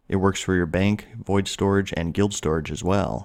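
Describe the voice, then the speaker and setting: A man's very deep, low pitch at a fairly quick pace, in a very clean recording with a silent background. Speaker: gaming YouTuber. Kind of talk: casual talk to camera. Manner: monotone.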